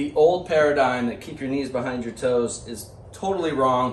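Amid light background noise and audible room echo, a man talks at a moderate pace with big swings in loudness. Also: ordinary pitch variation. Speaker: fitness coach. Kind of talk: tutorial. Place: gym. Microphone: camera far.

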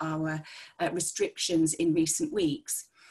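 Against a quiet background, a woman talks in a fairly low pitch with a dark, mellow tone. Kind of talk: press briefing. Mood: calm, serious. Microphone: video call.

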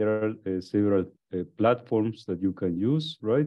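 Quiet surroundings and a man whose pitch varies in an ordinary way. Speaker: course instructor. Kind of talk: lecture.

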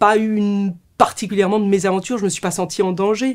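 A woman talks at a fairly quick pace. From France. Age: 40s. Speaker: author and ultrarunner. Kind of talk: book presentation monologue; interview answer. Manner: hesitant, repeating words. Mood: warm, reflective. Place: studio.

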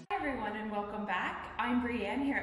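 A woman speaking at a fairly quick pace, ordinary pitch variation, audible room echo. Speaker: fitness trainer. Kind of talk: tutorial. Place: gym. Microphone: phone near.

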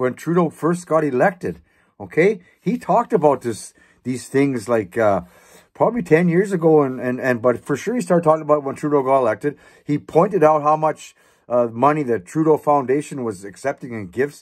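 A man's pitch swings very widely, with a quiet background behind him. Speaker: political commentator. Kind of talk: casual political commentary. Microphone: webcam.

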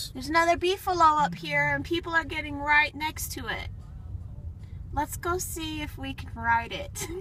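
A woman speaks at a moderate pace with big swings in loudness, the sound dry with no echo and light noise in the background. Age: 40s. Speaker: vlogger. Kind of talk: casual vlog narration. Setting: outdoors. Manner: animated. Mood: relaxed, cheerful.

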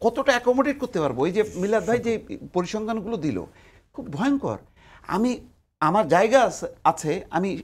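A man speaks with a high pitch and lively intonation. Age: 60s. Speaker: newspaper editor and political commentator; newspaper editor, political commentator. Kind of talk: TV talk show debate. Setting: TV studio. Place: studio. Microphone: lapel.

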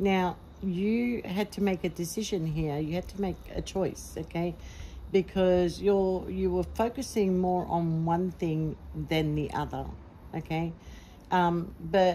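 A very slow, somewhat breathy voice with a dark, mellow tone and fairly even intonation sits over light background noise. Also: woman, fairly low pitch for a woman. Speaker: tarot reader. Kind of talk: tarot reading monologue. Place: garden. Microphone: phone near.

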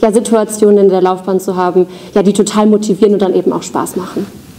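A woman talks at a fairly quick pace with monotone, flat intonation. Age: 20s. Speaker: bank branch manager. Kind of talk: interview. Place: hall.

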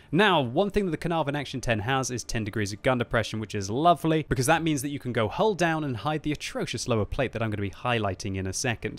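A man with an English accent talks at a very fast pace with lively intonation, hardly any pauses and a dry sound with no echo. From Britain. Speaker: gaming YouTuber. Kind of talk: game commentary and review. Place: home room. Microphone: studio mic.

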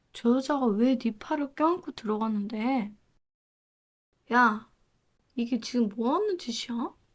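Using a put-on character voice, a woman speaks breathily in a high pitch at a moderate pace, with ordinary pitch variation and long, frequent pauses. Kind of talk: roleplay audio drama. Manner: breathy, close.

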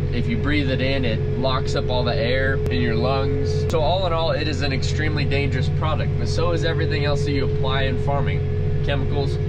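Fairly quick speech from a man over music in the background. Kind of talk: casual vlog chat. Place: farm machine. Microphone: phone near.

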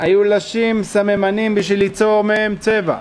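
A man speaks at a very slow pace in a voice that is high-pitched for a man. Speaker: religious teacher. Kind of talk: lecture. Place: hall. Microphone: podium.

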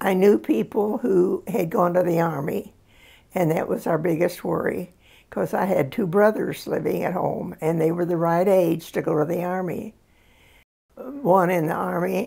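Speaking at a fairly slow pace over a quiet background, a woman has a fairly low pitch, vocal fry, and a dark, mellow tone. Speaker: interviewee. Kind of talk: interview answer. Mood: reflective, calm storytelling. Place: home room.

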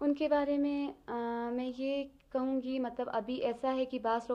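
A woman speaks with fairly even intonation. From Baltistan, Skardu. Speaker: teacher and student. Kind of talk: interview. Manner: hesitant with fillers.

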